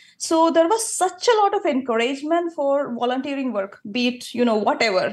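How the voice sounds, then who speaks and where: At a moderate pace, a woman is talking. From India, Kerala. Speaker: medical doctor. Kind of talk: interview.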